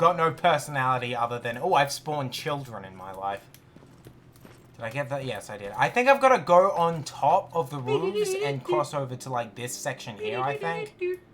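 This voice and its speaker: Pitched fairly high, a man with an Australian accent speaks with big swings in loudness. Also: lively intonation, moderate pace. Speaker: gaming streamer. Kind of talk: casual chat while gaming. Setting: live stream.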